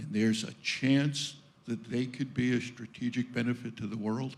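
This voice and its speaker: In a New York accent, a man speaks at a fairly slow pace and a medium pitch, with ordinary pitch variation. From Brooklyn, New York. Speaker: audience member asking a question. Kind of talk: audience question.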